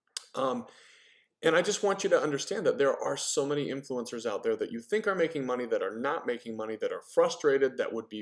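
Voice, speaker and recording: A man with a fairly high pitch and lively intonation. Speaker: network marketing trainer. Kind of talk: training talk. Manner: fast.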